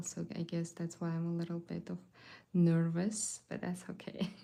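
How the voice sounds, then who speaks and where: A woman with a non-native accent speaks at a fairly slow pace, her pitch fairly low and her tone dark and mellow. The recording is very clean, with a silent background. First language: not English. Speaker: watercolor artist and art teacher. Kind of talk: live painting tutorial. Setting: livestream. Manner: casual, hesitant with fillers.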